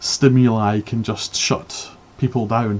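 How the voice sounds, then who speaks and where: A man speaks with a Scottish accent. His tone is dark and mellow. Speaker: book reviewer streamer. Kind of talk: live stream book review. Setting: live stream with chat. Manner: halting, many fillers and repeats.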